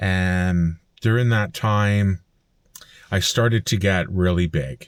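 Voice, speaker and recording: A man with a Canadian accent speaks at a very slow pace in a very deep, low voice. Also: very clean recording, silent background. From Canada, Alberta (Fort McMurray). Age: 40s. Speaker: vlogger. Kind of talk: personal vlog monologue. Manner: casual with frequent fillers.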